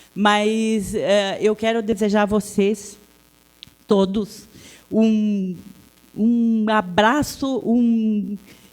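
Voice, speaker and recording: A woman's fairly high voice at a very slow pace, with long, frequent pauses, monotone, flat intonation and very even loudness. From Serra Gaúcha, Rio Grande do Sul, Brazil (Italian-descended area). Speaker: local public official. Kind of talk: public speech at event. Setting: event venue with audience. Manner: halting.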